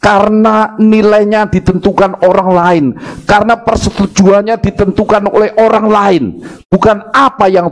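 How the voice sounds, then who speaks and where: Loudness stays very even in a Javanese accent over noticeable background noise. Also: man. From Java, Indonesia. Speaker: pastor. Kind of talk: sermon. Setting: church service, live-streamed.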